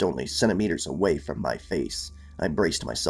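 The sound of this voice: With ordinary pitch variation, the reading voice sounds unforced.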